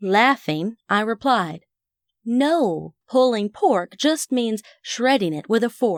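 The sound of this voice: Lively intonation marks an unforced reading voice heard over a quiet background.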